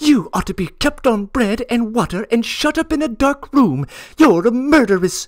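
In a put-on character voice, the speaker hisses while talking at a moderate pace. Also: man, extremely high pitch for a man. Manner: hissing, spiteful.

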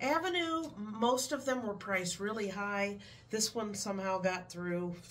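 There is light background noise. A woman talks at a fairly slow pace. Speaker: reseller vlogger. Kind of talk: casual haul vlog chat. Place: home room. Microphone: camera far.

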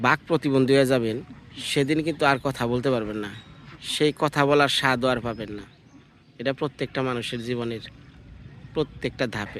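An unremarkable speaking voice from a man, mid-range in pitch, its rises and falls normal. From Bangladesh, Tangail (Mirzapur). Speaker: village life vlogger. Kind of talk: casual vlog chat.

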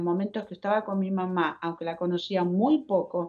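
Against a quiet background, a woman with an Argentine accent speaks in a dark, mellow tone. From Argentina. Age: 70s. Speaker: speaker. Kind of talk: testimony. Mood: earnest, emotional, faith-filled. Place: home room. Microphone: video call.

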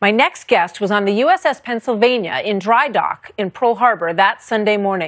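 Here is a woman with an unremarkable speaking voice, fairly high in pitch, with lively intonation. She keeps a moderate pace with hardly any pauses. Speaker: TV news anchor. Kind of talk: TV news introduction.

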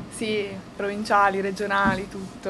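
A woman speaking at a fairly slow pace, over light background noise. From Piedmont, Italy. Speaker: volleyball player. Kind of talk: press conference interview. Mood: cheerful, relaxed. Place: meeting room.

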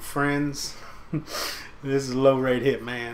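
A Southern US accent comes through over noticeable background noise. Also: man. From Tennessee. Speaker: gaming video commentator. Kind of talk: informal, colloquial. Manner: casual, laid-back, frequent filler phrases.

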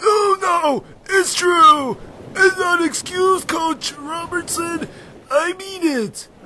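A man puts on a cartoonish character voice at an extremely high pitch. He speaks at a very slow pace. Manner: frantic, pleading, excitable.

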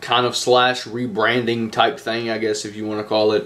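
In a flat monotone, a man speaks at a moderate pace. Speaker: channel co-host. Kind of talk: casual vlog chat. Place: home room. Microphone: webcam.

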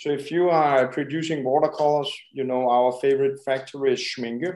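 A man talks at a fairly quick pace with a Danish accent. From Denmark. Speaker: painter and art supply shop worker. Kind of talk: interview. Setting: video call. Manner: halting.

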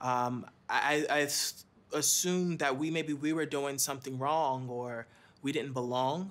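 The man talks at a fairly slow pace. His intonation is fairly even. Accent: American. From Philadelphia. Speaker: interviewee in public awareness video; interviewee. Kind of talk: testimony. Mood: earnest, reflective, somewhat pained. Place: studio.

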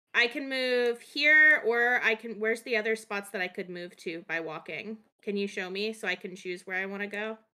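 A woman speaks at a moderate pace, with hardly any pauses. Her tone is bright and sharp, with ordinary pitch variation. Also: quiet background. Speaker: tabletop RPG player. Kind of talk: tabletop roleplaying game session. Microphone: video call.

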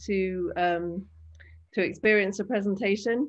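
A woman delivers her words at a fairly slow pace, with fairly even intonation and a quiet background. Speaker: artist in residence and symposium moderator. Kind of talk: online symposium moderation. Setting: video call.

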